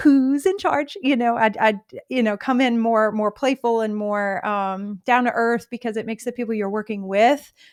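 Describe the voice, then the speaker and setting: The speaker keeps a moderate pace with hardly any pauses and ordinary pitch variation. The recording is very clean, with a silent background. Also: woman, fairly high pitch for a woman. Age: adult, wife and mother. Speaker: podcast host. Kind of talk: interview. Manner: animated.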